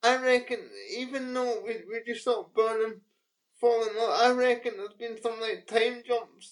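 In a British accent, a woman with a fairly high pitch speaks at a moderate pace in a monotone, flat intonation. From UK. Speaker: podcast co-host. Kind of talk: casual chat.

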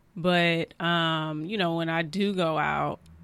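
Over a silent background in a very clean recording, a woman speaks with a very deep, low pitch. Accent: American. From California. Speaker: podcast co-host. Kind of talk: casual chat.

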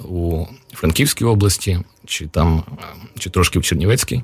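Moderate pace and ordinary pitch variation from a man with a very deep, low voice. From Uzhhorod, Transcarpathia, Ukraine. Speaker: poet and writer. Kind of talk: casual chat. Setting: studio.

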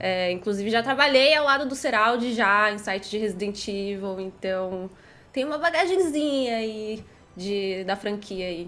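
A woman speaks at a fairly slow pace in a fairly high pitch. Her tone is bright and sharp, with lively intonation. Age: 20s. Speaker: gaming content creator. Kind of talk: casual chat.

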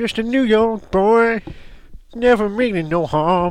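In a put-on character voice with a Southern US accent, a man speaks high and at a fairly slow pace. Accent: American country. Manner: twangy, singsong.

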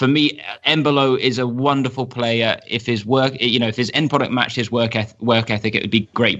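Medium in pitch, a man's voice is a plain, everyday voice. He moves at a fairly quick pace with fairly even intonation. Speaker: football journalist and commentator. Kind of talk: casual chat, podcast interview.

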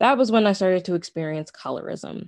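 A woman's plain, everyday voice with an American accent, lively intonation and a fairly quick pace, in a dry, close sound with no echo and a quiet background. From US, Nigerian American family. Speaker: interview participant. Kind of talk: personal testimony.

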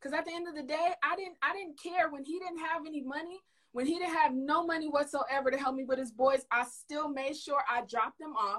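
A woman speaks at a high pitch. Her pitch variation is ordinary. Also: fairly quick pace. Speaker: caller. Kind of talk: discussion.

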